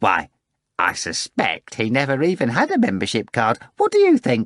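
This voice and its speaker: A man puts on a character voice, keeping a medium pitch and moderate pace. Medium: read story. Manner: florid, theatrical.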